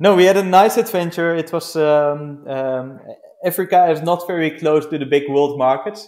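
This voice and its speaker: A man talks with a Dutch accent at a moderate pace. His pitch varies in an ordinary way. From Netherlands. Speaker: glamping business founder. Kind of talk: interview. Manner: halting.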